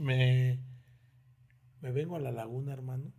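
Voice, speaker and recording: Somewhat breathy, a man talks at a fairly slow pace in a dark, mellow tone. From Mexico, Oaxaca and Mexico City. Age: 40s. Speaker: restaurant maître d'. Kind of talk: casual interview. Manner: animated storytelling.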